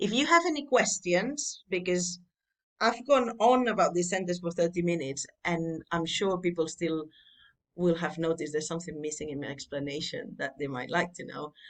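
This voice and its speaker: With a Catalan accent, the speaker talks at a moderate pace, with lively intonation and big swings in loudness. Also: woman, fairly low pitch for a woman. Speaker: Latin tutor. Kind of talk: tutorial. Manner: informal, conversational.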